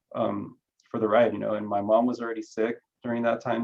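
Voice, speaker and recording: A man is speaking. He has a Spanish accent. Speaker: career panelist. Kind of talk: panel discussion. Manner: halting, many repeated words.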